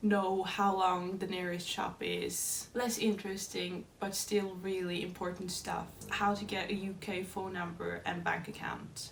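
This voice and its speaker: A woman with a Norwegian accent speaks at a fairly slow pace with hardly any pauses, in a medium pitch and monotone, flat intonation. Audible room echo and noticeable background noise surround her voice. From Norway. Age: 20s. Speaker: dance student. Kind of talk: scripted narration.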